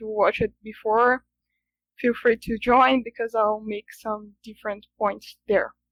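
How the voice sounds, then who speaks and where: The intonation is monotone and flat, at a fairly slow pace. The sound is dry and close, with no echo. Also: woman. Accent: Brazilian Portuguese. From Brazil. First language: Portuguese. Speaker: software engineering student. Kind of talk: conference talk. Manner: halting, many fillers.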